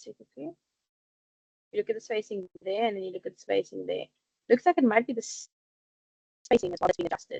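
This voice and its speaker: A woman talks at a very fast pace, yet with long, frequent pauses and big swings in loudness. The sound is dry and close, with no echo. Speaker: teacher trainer. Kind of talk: online workshop tutorial. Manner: animated.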